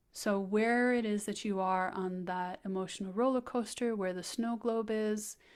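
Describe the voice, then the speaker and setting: The voice is soft-spoken, with ordinary pitch variation at a fairly slow pace. The recording is very clean, with a silent background. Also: woman. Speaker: podcast host and human design reader. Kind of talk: human design reading conversation. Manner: soft, lyrical delivery.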